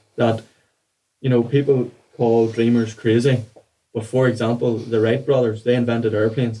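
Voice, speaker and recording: A man with an Irish accent speaks in a flat monotone at a moderate pace, his pitch medium and his loudness very even. His tone is dark and mellow, broken by long, frequent pauses. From Ireland. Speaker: mindset coach. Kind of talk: podcast interview.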